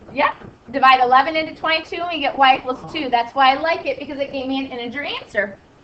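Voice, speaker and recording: Against noticeable background noise, a woman speaks at a very fast pace in a high pitch, with ordinary pitch variation and big swings in loudness. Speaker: math teacher. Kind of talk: classroom lecture. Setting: classroom with students.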